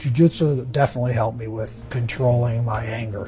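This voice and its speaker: A man talks at a medium pitch. Behind his voice, music plays. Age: 70s. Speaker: jiu-jitsu practitioner. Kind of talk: documentary interview.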